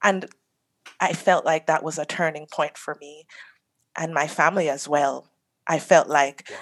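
Very deep and low, a woman's voice moves at a fairly slow pace with long, frequent pauses. Her intonation stays fairly even while loudness swings widely. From Jamaica, rural St. Ann. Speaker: reggae artist. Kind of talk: interview.

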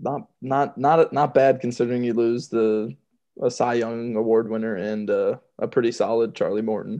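A man with an American accent and an unremarkable speaking voice, at a medium pitch and a moderate pace, with fairly even intonation over a quiet background. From Georgia, US. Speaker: podcast co-host, baseball fan. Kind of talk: casual chat, sports talk. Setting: remote call between hosts.

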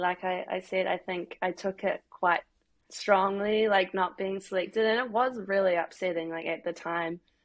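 A woman with a New Zealand accent speaks with fairly even intonation. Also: medium pitch for a woman, moderate pace. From New Zealand, Christchurch. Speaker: professional footballer. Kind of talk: casual interview.

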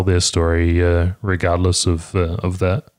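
A man's very deep, low voice with a New Zealand accent. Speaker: podcast host. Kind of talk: casual chat. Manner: fast.

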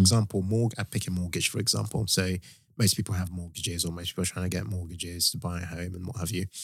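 A man's very deep, low, somewhat breathy voice at a very fast pace with ordinary pitch variation, on a very clean recording with a silent background. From Nigeria. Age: 30s.

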